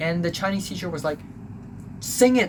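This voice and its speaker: Background noise is noticeable in this recording. Over it, a man talks with lively intonation. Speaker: YouTuber recounting school life. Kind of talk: casual storytelling monologue. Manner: hesitant, many fillers.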